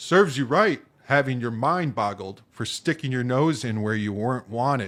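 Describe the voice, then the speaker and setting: Putting on a character voice, a man of medium pitch speaks at a moderate pace with lively intonation. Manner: jovial and bored.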